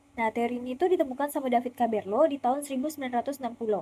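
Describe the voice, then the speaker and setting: A woman speaks at a high pitch with a dark, mellow tone and a slight West Kalimantan accent. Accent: slight Pontianak Malay. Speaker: university student. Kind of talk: student presentation video. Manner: casual.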